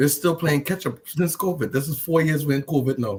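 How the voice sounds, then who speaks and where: A man speaks at a moderate pace with a Trinidadian accent. His voice is somewhat breathy, with ordinary pitch variation. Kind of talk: casual chat.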